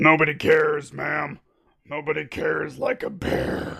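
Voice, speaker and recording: A raspy, put-on character voice from a man at a moderate pace. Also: fairly high pitch for a man. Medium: read story. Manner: polite but officious.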